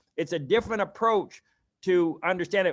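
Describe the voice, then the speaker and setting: The speaker shows ordinary pitch variation in a very clean recording with a silent background. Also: man. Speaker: public health consultant. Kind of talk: training presentation. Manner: fast.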